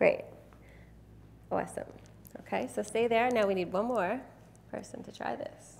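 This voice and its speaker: Her tone animated, a woman speaks at a moderate pace with long, frequent pauses and big swings in loudness. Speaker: photographer and workshop presenter. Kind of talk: live seminar presentation with demonstration.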